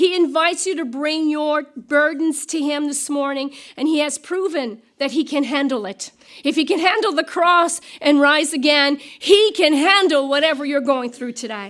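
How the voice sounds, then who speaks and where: A woman speaks loudly at a moderate pace, her high-pitched voice rising and falling in an ordinary way. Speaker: pastor. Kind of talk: sermon.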